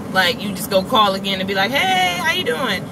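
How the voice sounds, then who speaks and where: Background noise is noticeable throughout. A woman talks over it fairly quickly. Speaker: vlogger. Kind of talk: casual vlog chat. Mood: annoyed, venting a gripe. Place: car. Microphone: phone near.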